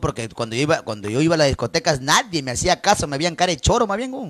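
A man talks at a very fast pace with hardly any pauses, his tone animated and his pitch swinging very widely. The sound is dry and close, with no echo. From Peru, northern highlands (Cajabamba, raised in Trujillo). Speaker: live-stream host taking listener calls. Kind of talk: late-night adult call-in show.

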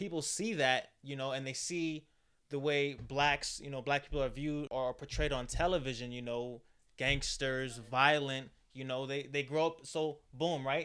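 With an American accent, a man talks at a moderate pace in a fairly high, bright, sharp voice with fairly even intonation. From New York (Queens, Dutchess County). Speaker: podcast guest. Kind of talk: casual chat.

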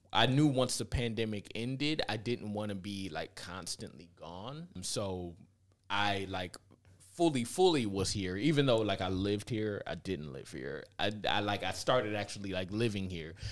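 An unremarkable speaking voice with an American accent moves at a moderate pace with lively intonation. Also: man, fairly low pitch for a man. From US Midwest, inner-city Cleveland, Ohio. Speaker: filmmaker and actor. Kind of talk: casual interview. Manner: relaxed, filler-heavy.

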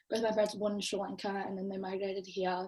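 A somewhat breathy, medium-pitched woman in an Australian accent against a quiet background. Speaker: podcast host and university student. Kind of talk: casual chat.

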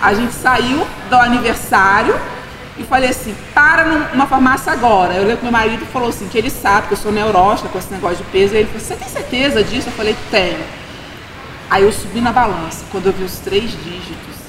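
A woman's fairly high, lively voice at a fairly quick pace, amid audible room echo and noticeable background noise. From Minas Gerais, Brazil. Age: 40s. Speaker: administrator. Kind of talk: testimony.

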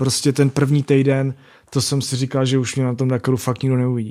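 A man's dark, mellow voice, flat and monotone, at a fairly quick pace in a very clean recording with a silent background. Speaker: rally raid and motocross racer. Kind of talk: casual interview.

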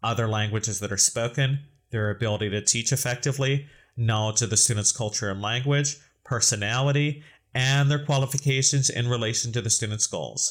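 Speaking fairly quickly with an American accent, a man uses a medium pitch, fairly even intonation, and a somewhat breathy voice, recorded very cleanly over a silent background. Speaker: podcast host and English teacher. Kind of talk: casual educational podcast discussion.

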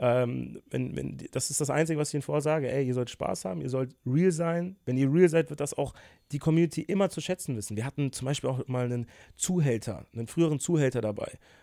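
A man's fairly high, dark and mellow voice with ordinary pitch variation at a fairly quick pace, on a very clean recording with a silent background. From Germany, Bonn (Rhineland). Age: 20s. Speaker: YouTuber. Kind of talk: casual interview.

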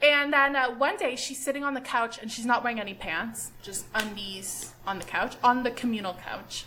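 A woman with a Canadian accent at a high pitch, animated in tone with ordinary pitch variation, moving at a moderate pace with hardly any pauses and big swings in loudness, over noticeable background noise. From Canada. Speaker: podcast co-host. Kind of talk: casual chat. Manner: animated, laughing often.

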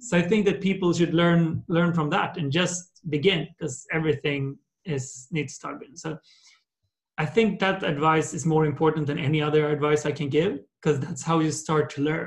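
A man with an ordinary speaking voice, fairly high in pitch, at a moderate pace with fairly even intonation. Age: 30s. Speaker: entrepreneur. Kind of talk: interview.

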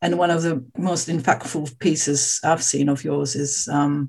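A woman speaks in a somewhat breathy voice. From Australia. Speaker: podcast host. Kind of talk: interview conversation.

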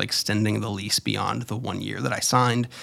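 A man talks with an American accent and vocal fry. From Florida, US. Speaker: podcaster and YouTuber. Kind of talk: casual solo monologue. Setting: home studio.

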